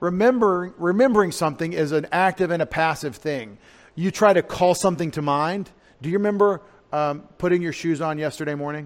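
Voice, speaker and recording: A man with an East Texas accent talks at a fairly quick pace and high pitch, with ordinary pitch variation. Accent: East Texas Southern US. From US South. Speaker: pastor. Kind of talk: sermon. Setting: church.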